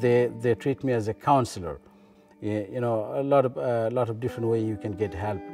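A man speaks at a fairly quick pace in a Bangladeshi accent, with ordinary pitch variation. The sound is dry with no echo, and faint music plays in the background. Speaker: local councillor. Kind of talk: interview answer. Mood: calm, warm, reflective. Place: meeting room.

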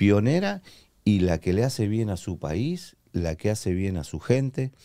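A man speaks in a dark, mellow tone with very wide swings in pitch. The background is quiet. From Argentina. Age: 50s. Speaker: former footballer and radio announcer; radio announcer. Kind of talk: podcast interview. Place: studio. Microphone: studio mic.

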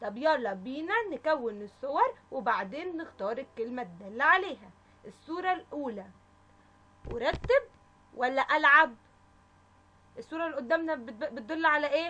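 A woman speaks at a fairly slow pace in a high, raised and projected voice. Her tone is animated, with very wide pitch swings. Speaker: kindergarten teacher. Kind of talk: children's lesson.

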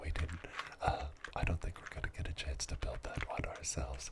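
The speaker is soft-spoken and relaxed in tone, with noticeable noise in the background. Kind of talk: casual live-stream chat with viewers. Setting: studio. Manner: soft-spoken, relaxed.

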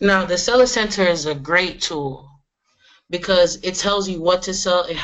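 A woman's plain, everyday voice, fairly low in pitch, with fairly even intonation. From Florida. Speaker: e-commerce seller. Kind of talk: screen-share tutorial.

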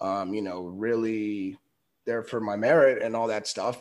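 With a normal speaking voice, a man talks at a moderate pace and medium pitch. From California. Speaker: podcast host. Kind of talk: interview. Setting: video call.

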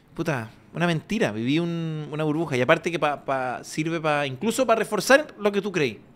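A man's fairly high voice with lively intonation, at a fairly quick pace. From Chile. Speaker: comedian; podcast co-host. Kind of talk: casual chat. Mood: joking, relaxed. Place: studio. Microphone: studio mic.

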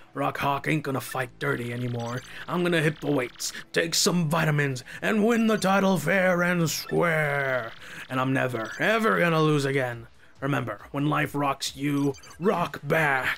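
Over clear background noise, a man uses a put-on character voice at a fairly high pitch and a moderate pace. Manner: earnest, pumped up.

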